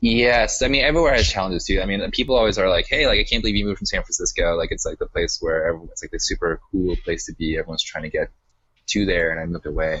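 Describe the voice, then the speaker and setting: A man speaks with an American accent. He talks at a very fast pace. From Utah, US (Salt Lake City), later Bay Area. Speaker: coding school founder, entrepreneur. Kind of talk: interview. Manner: casual, many fillers.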